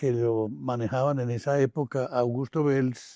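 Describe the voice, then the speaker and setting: A man's medium-pitched voice, dark and mellow in tone, very slow, with a dry, close sound with no echo and a quiet background. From Colombia, Medellín. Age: 80s+. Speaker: forensic document examiner and law professor. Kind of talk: interview. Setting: podcast interview.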